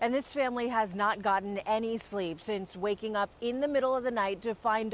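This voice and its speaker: This is a woman with a normal speaking voice. Her medium pitch varies in an ordinary way at a moderate pace. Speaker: TV news reporter. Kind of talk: TV news report.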